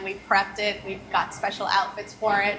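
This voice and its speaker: With an American accent, a woman speaks in a fairly high pitch over noticeable background noise. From New York City. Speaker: business owner. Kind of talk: interview. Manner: conversational.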